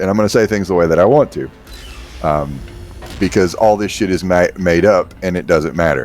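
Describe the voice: Someone speaks with a Kentucky accent while music plays in the background. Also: man, very deep, low pitch for a man, ordinary pitch variation, moderate pace.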